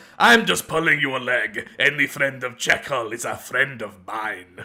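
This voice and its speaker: A put-on character voice uses a Russian accent as part of the act. The pace is moderate. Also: man, medium pitch for a man. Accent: pseudo-Russian. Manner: teasing, gruff.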